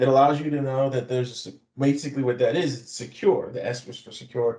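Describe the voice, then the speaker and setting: At a medium pitch, a man talks with fairly even intonation and a somewhat breathy voice. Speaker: IT security consultant. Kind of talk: webinar presentation.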